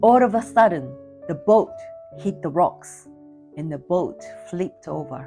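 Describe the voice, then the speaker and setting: With music in the background, a woman speaks at a fairly slow pace, her pitch swinging very widely. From Vietnam. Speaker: public speaker. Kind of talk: competition speech.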